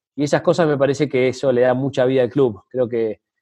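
A man speaks at a moderate pace with a medium pitch and a dark, mellow tone. His intonation stays fairly even. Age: 30s. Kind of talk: interview conversation. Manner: hesitant, many fillers.

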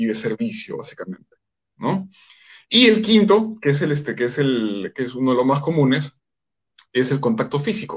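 A man speaks at a moderate pace in a somewhat breathy, fairly high voice that makes very wide pitch swings. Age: 40s. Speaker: psychologist and coach. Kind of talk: interview on relationships.

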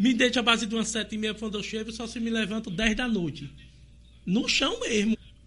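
A man speaks at a high pitch and fairly quick pace with ordinary pitch variation. Noticeable background noise sits behind him. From Sergipe, Brazil (village near Tobias Barreto). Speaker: local politician and community health worker. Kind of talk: interview on live podcast.

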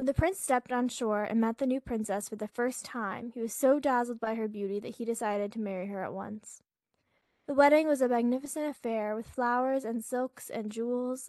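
In a dry, close sound with no echo, a woman uses an ordinary speaking voice, fairly high in pitch and fairly even in intonation. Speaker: podcast co-host. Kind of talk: bedtime story reading. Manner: soft, gentle, dreamy.

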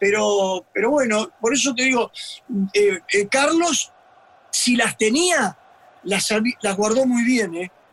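Over noticeable background noise, a man with an extremely high pitch speaks at a very slow pace, using lively intonation and long, frequent pauses. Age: 70s. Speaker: retired football fitness coach. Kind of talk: casual chat. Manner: halting.

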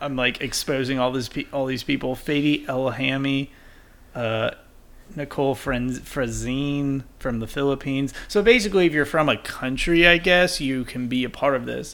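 A man's plain, everyday voice with an American accent, fairly high pitch, ordinary pitch variation and a moderate pace. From Texas. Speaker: podcast co-host. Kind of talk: casual chat.

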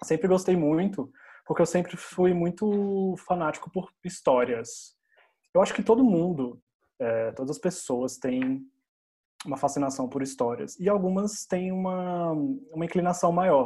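Speaking fairly slowly, a man with a high pitch and a dark, mellow tone uses lively intonation. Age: 30s. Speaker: English teacher. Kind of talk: casual chat.

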